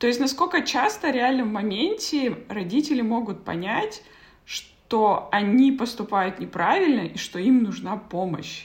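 She has a plain, everyday voice, pitched fairly high for a woman. Her intonation is lively and her pace fairly slow. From Kazakhstan. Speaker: podcast host. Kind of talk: interview. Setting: video call.

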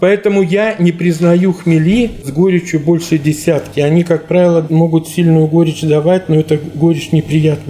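Against noticeable background noise, a man speaks at a moderate pace with hardly any pauses. His pitch is high, and his intonation is fairly even. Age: 60s. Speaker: brewery technologist. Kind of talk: interview. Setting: brewery office.

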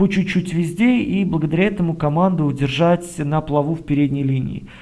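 A man's fairly high voice with a dark, mellow tone, ordinary pitch variation and a fairly quick pace. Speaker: basketball podcast co-host. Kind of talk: casual basketball analysis chat.

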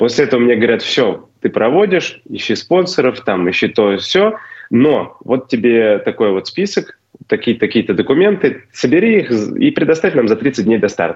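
A man speaks at a moderate pace and medium pitch, his pitch swinging very widely while his loudness stays very even. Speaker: race organizer. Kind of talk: casual interview. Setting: video call from Slovenia. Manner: hesitant, filler words.

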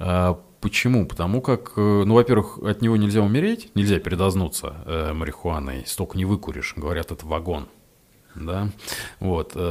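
A man talks at a moderate pace with a very deep, low pitch. His pitch varies an ordinary amount. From Russia, Ryazan. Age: 30s. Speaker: psychotherapist and addiction doctor. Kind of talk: casual interview chat. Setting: studio.

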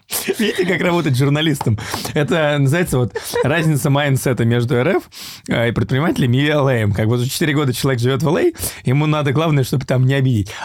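Talking at a fairly quick pace, a man with a fairly high voice keeps very even loudness and ordinary pitch variation amid noticeable background noise. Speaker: podcast host. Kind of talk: casual interview chat. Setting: in person, studio in Los Angeles.

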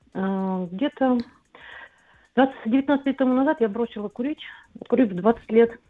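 A woman with a high voice speaks at a fairly slow pace, with ordinary pitch variation and long, frequent pauses. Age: 50s. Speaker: caller. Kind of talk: phone-in call.

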